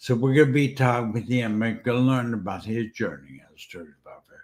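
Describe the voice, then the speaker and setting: In an unremarkable speaking voice, a man talks at a medium pitch with ordinary pitch variation. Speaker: podcast host, stroke survivor. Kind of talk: podcast intro.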